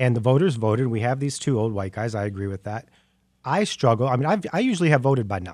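A man speaks at a very fast pace with lively intonation and medium pitch. The recording is very clean, with a silent background. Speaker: community center director. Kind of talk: radio panel discussion.

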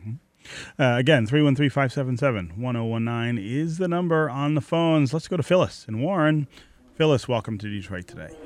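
Using a plain, everyday voice, a man with an American accent speaks at medium pitch and a fairly quick pace with lively intonation. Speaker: radio host. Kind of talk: radio talk show. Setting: studio.

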